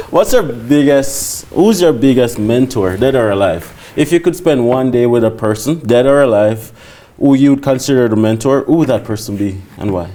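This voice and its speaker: A man speaks with ordinary pitch variation. Background noise is noticeable throughout. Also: medium pitch for a man, moderate pace. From Jamaica. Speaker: podcast host. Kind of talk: interview. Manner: casual, joking.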